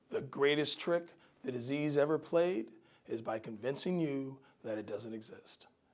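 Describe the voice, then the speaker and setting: A man with a plain, everyday voice, medium pitch, ordinary pitch variation, and a fairly slow pace. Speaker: addiction counselor. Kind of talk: educational talk.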